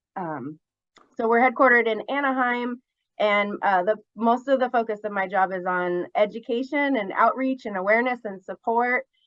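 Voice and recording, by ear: A woman's fairly high, fairly bright voice at a moderate pace, with ordinary pitch variation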